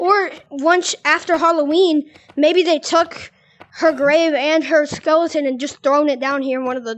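The delivery is fairly slow, with ordinary pitch variation. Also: woman, high pitch for a woman. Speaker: gamer recording gameplay. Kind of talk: casual gameplay chat. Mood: nervous, excited. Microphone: headset.

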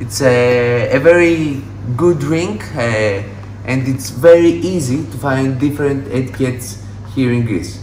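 Fairly slow pace and long, frequent pauses, with ordinary pitch variation, light background noise and audible room echo. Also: man. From Greece. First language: Greek. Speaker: mixologist. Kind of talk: tutorial. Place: shop. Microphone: phone near.

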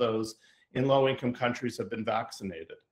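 The background is quiet as a man speaks. His voice carries an audible room echo. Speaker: event host introducing speaker. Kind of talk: formal introduction. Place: home room. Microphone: video call.

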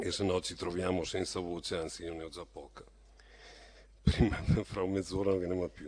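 A man's very deep, low voice, flat and monotone, at a moderate pace with long, frequent pauses and big swings in loudness. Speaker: mayor chairing town council. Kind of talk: formal council meeting. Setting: council chamber with microphones.

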